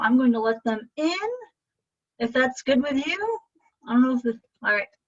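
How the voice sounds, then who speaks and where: An animated tone at a fairly quick pace. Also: woman. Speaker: art instructor. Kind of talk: live painting class over video call. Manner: chatty, animated.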